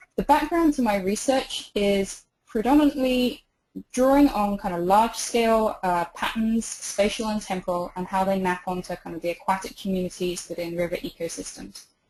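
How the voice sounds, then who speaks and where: Speaking with a British accent, a woman uses lively intonation at a medium pitch and a moderate pace. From England, outside London. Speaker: river researcher. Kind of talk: webinar lecture. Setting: online webinar.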